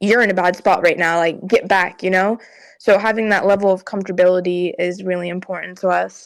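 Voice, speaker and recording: Quiet and at a fairly quick pace, a woman with a medium pitch speaks in fairly even intonation, recorded very cleanly against a silent background. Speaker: esports player and in-game leader. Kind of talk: podcast interview. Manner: quiet, monotone; halting, many fillers.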